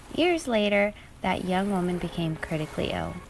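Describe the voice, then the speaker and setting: Using a normal speaking voice, a woman talks at a moderate pace with a medium pitch and ordinary pitch variation. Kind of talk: calming storytelling aloud, ASMR-style. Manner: calm, soothing.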